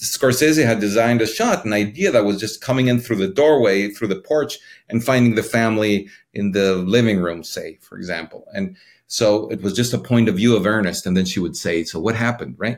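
The recording is very clean, with a silent background. A man talks at a fairly quick pace with a medium pitch and ordinary pitch variation. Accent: Spanish. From Mexico City, Mexico. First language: Spanish. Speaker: cinematographer. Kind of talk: interview. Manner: halting.

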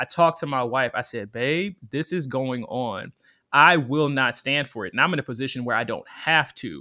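On a very clean recording with a silent background, a man at medium pitch speaks at a moderate pace in an animated, bright, sharp tone with ordinary pitch variation. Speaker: writer and audio producer. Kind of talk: casual advice conversation. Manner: animated, laughs often.

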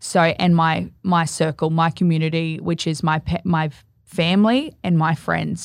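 This woman has an Australian accent and a fairly low pitch. The recording is very clean, with a silent background. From Australia, Gold Coast. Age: 30s. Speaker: bereaved mother. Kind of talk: casual interview.

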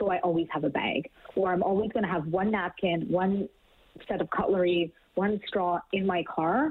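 A woman with a Canadian accent uses a normal speaking voice at medium pitch, with ordinary pitch variation, very even loudness and a moderate pace. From Canada. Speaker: green living blogger. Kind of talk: interview.

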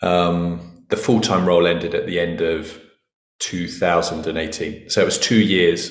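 A man speaks in a very deep, low register, monotone and flat. His pace is very slow. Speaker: entrepreneur. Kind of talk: interview. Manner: loud.

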